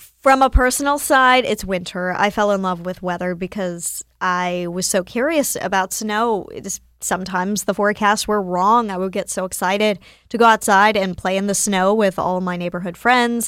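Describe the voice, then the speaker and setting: A woman's unremarkable speaking voice with an American accent, at a moderate pace with ordinary pitch variation, on a very clean recording with a silent background. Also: medium pitch for a woman, hardly any pauses. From North Carolina, near Winston-Salem. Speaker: TV meteorologist. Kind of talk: casual interview.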